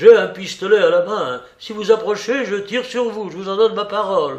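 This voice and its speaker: A man puts on a shaky, high-pitched character voice, speaking at a moderate pace with ordinary pitch variation. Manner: threatening but shaky.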